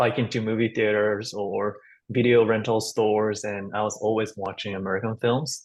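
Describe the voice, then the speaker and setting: A man with a Japanese accent. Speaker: actor. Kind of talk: roundtable discussion.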